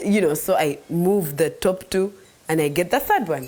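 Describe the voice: A woman speaks with fairly low pitch and lively intonation. Her tone is slightly mellow.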